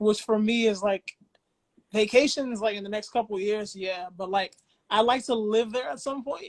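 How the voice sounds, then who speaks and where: A woman speaks at a fairly high pitch and a moderate pace. Her pitch varies in an ordinary way. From US. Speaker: podcast host. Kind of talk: casual chat.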